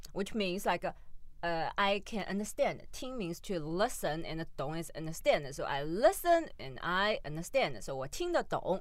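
A woman with a medium pitch makes very wide pitch swings on a very clean recording with a silent background. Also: moderate pace. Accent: Chinese. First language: Mandarin Chinese. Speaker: podcast co-host. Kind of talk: casual chat.

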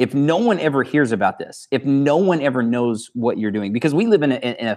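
In an ordinary speaking voice, a man talks at a fairly high pitch and a fairly quick pace with lively intonation against a quiet background. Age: 30s. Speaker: leadership trainer and company co-founder. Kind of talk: interview.

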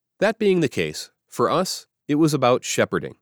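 Vocal fry marks this man's voice, heard in a very clean recording with a silent background and a dry, close sound with no echo. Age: 60s. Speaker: pastor. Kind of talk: reading aloud.

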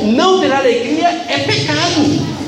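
A man speaks at a very slow pace with very wide pitch swings. Noticeable background noise runs underneath. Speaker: preacher. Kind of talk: sermon. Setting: church. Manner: earnest, admonishing, emphatic; rhetorical questions, repeats for emphasis.

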